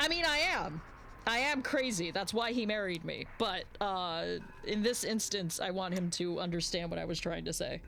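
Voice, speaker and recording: A woman talks at a moderate pace and medium pitch with lively intonation. Noticeable background noise and audible room echo are present. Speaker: streamer drawing live. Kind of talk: casual chat while drawing on stream. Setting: live stream. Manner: mumbling at times. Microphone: mic close, volume quiet.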